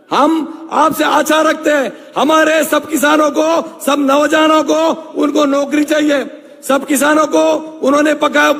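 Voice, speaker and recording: A man talks in an extremely high pitch with monotone, flat intonation. Noticeable background noise runs behind him. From Maharashtra, Nashik district. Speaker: local politician. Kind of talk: political speech.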